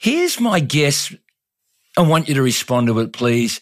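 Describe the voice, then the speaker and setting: In a very clean recording with a silent background, a man talks in an enthusiastic tone at a medium pitch. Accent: Australian. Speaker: podcast host and leadership coach. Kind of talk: interview. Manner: laughs often.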